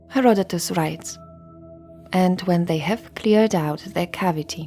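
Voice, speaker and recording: Music plays in the background. A woman speaks fairly slowly at a fairly low pitch. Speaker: history podcast narrator. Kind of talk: sleep story history narration. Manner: soft, calm ASMR narration.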